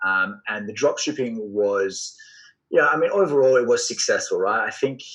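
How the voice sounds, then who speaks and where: A man speaks at a moderate pace. He has an Australian accent. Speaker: entrepreneur and sales coach. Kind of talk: podcast interview.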